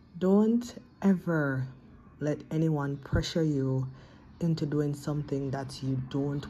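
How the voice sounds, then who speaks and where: Very slow and somewhat breathy, the voice has a dark, mellow tone. Its pitch varies in an ordinary way over light background noise. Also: woman. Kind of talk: motivational vlog message. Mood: earnest, encouraging. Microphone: phone near.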